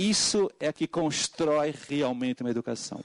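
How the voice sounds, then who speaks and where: A man with a Portuguese accent speaks at a fairly high pitch with ordinary pitch variation, recorded with a dry, close sound and no echo. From Portugal. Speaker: education consultant. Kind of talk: public hearing testimony. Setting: parliamentary committee hearing. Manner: halting, many fillers.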